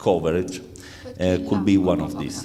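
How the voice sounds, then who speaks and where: A man with an Italian accent talks at a fairly slow pace in a very deep, low pitch. There is audible room echo and noticeable background noise. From Italy, Rome. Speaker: insurance executive. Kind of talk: conference talk. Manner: halting, many fillers.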